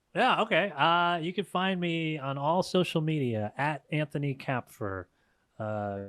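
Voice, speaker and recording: A plain, everyday voice carries lively intonation at a fairly slow pace. The recording is very clean with a silent background and a dry, close sound with no echo. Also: man. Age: 30s. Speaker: comedian and musician. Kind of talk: casual chat.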